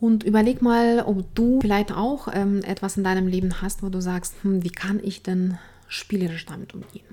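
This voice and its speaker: A woman with a non-native accent, a medium pitch, fairly even intonation and a moderate pace. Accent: foreign accent in German. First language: not German (speaking German). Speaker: resilience coach and podcast host. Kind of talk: solo podcast talk.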